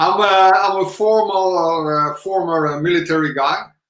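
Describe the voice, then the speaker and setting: A man talks rather slowly, his pitch varying normally, with room echo clearly audible. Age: 50s. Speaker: angler and ex-marine. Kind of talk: interview. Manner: halting.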